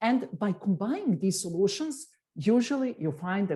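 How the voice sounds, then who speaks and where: A woman with a Serbian accent has a dark, mellow tone at a medium pitch, somewhat breathy. She speaks at a moderate pace with very wide pitch swings. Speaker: tech executive. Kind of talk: interview. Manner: hesitant.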